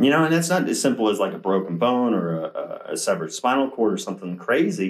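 An American-accented man at a fairly quick pace, with very wide pitch swings. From Ohio, US Midwest. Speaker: chiropractor. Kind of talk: casual monologue to viewers, live-stream style. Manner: animated. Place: office. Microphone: camera far.

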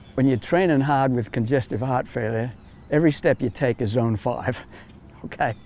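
Light background noise sits under a man's medium-pitched voice, which has a dark, mellow tone, ordinary pitch variation, and an American accent, moving at a moderate pace in a dry sound with no echo. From USA. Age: 70s. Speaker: triathlon coach and athlete. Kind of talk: interview answer. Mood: earnest, reflective. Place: street. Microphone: lapel.

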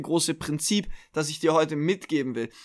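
Animated male speech at a moderate pace with ordinary pitch variation, in a very clean recording with a silent background. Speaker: business coach and mentor. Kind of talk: pep talk. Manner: direct and motivating.

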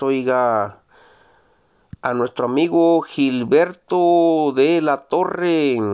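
A man's fairly high voice with ordinary pitch variation over a quiet background. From Mexico, Zacatecas. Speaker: YouTuber reading viewer greetings. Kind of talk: casual greetings show. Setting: Jalpa, Zacatecas. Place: car. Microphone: phone near.

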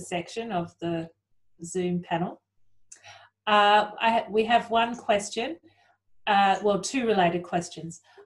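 A woman's medium-pitched voice with ordinary pitch variation against a quiet background. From Australia. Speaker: panel moderator. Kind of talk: moderating Q&A. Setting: video call. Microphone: video call.

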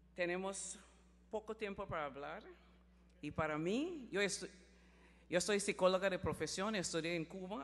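In a Honduran accent, a woman talks at a fairly slow pace with a fairly low pitch. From Belize. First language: Garifuna (speaking Spanish). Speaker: mayor; city mayor, conference speaker. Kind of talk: conference speech. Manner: halting. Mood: warm, smiling. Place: stage. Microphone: podium.

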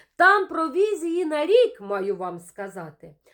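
A woman at a very slow pace, her pitch swinging very widely. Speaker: poet. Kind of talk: poetry reading, rhymed satirical verse read aloud as a storytelling poem. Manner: measured, rhythmic, expressive and wry, with a mildly ironic storytelling tone.

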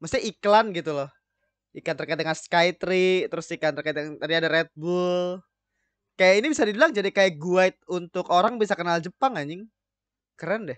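A man's high-pitched voice at a fairly quick pace, in a dry sound with no echo. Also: ordinary pitch variation, quiet background. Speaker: anime reaction host. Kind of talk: casual reaction commentary. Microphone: studio mic.

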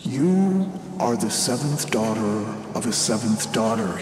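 A put-on character voice, croaky and raspy, sits at a low-to-middle pitch and moves at a fairly slow pace. There is slight echo and clear background noise. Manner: ominous.

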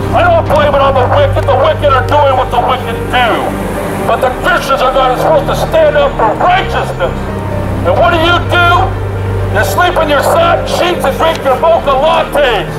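Loud background noise surrounds a man talking at a moderate speed. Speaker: street preacher. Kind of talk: open-air street preaching, shouted rebuke. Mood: angry rebuke. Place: street. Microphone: handheld.

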